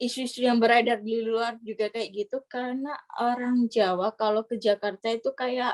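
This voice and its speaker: A woman's high-pitched voice at a fairly quick pace, with a dry, close sound with no echo and a quiet background. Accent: Surabaya. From East Java, Indonesia (Gresik/Surabaya). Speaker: scholarship graduate. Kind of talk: casual interview chat.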